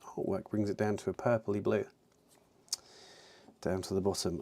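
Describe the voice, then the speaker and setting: A man's fairly low voice with a dark, mellow tone, at a moderate pace, with a British accent. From UK. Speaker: miniature painting streamer. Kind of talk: casual live-stream chat while painting. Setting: live stream.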